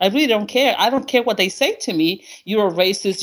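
With a Spanish accent, a woman speaks fairly quickly in an animated tone, her pitch swinging very widely. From Honduras. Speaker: caller. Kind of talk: call-in discussion.

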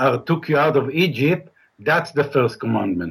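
The man's voice carries vocal fry and lively intonation. He talks at a fairly slow pace. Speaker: caller. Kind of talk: call-in debate.

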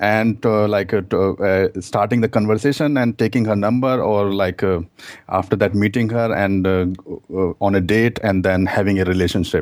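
A man with an Indian accent at a moderate pace. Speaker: dating coach. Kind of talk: call-in conversation. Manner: halting.

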